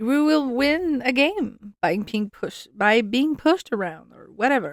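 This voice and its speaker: A woman with a high pitch, very wide pitch swings and big swings in loudness, at a fairly slow pace. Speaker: podcast host, hockey fan. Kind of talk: casual podcast monologue. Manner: hesitant, searching for words.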